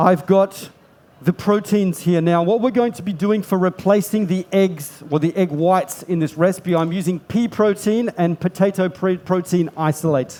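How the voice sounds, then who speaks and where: Speaking in an Australian accent at a moderate pace, a man with a high pitch and a dark, mellow tone keeps his intonation fairly even. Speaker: pastry chef demonstrator. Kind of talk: cooking demonstration with live interpretation.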